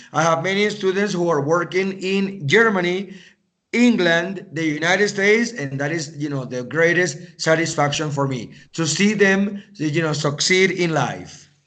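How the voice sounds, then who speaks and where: Audible room echo surrounds a man speaking with a Spanish accent at a moderate pace. His pitch is high, with ordinary variation. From Venezuela, raised partly in US and Canada. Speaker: English teacher. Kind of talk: conversation practice interview.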